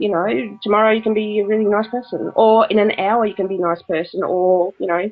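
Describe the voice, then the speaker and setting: A woman with an Australian accent speaks at a fairly quick pace with hardly any pauses, her medium pitch held in fairly even intonation. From Australia (Brisbane, Queensland). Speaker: spiritual writer and medium. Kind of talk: interview.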